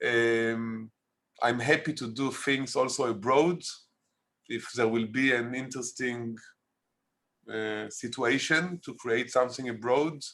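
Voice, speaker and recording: Speaking very slowly in an Israeli accent, a man has a bright, sharp tone over a quiet background. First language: Hebrew. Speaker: documentary filmmaker. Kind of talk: interview. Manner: halting.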